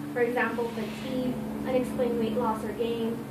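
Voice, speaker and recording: There is audible room echo and noticeable background noise as a woman speaks. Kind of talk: informative speech. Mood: earnest, somewhat nervous. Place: classroom. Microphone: camera far.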